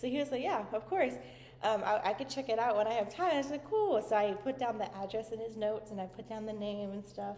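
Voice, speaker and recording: A woman speaks very fast in an animated tone with a fairly high voice. Her pitch variation is ordinary, and there is noticeable background noise. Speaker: vlogger. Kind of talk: casual vlog chat.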